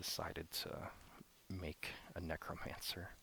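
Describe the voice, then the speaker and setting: A man whispers in a relaxed tone. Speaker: ASMR gaming YouTuber. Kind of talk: casual gaming commentary, ASMR. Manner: soft-spoken, relaxed.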